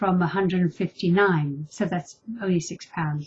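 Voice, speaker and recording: A woman with a medium-pitched, somewhat breathy voice talks at a fairly slow pace with ordinary pitch variation. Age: 60s. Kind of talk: video blog talk to camera.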